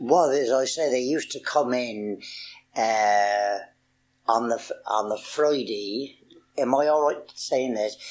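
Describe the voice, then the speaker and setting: Very slowly and with long, frequent pauses, a man with a Wiltshire accent talks at medium pitch with ordinary pitch variation in a quiet background. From Marlborough, Wiltshire, England. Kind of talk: oral history interview answer.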